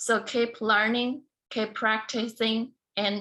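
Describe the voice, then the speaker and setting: At a very slow pace, a woman with a Chinese accent speaks in a fairly high pitch with a bright, sharp tone and fairly even intonation. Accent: Mandarin Chinese. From China (small southern city, then Beijing from age 12). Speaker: beauty queen and motivational speaker. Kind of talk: speech.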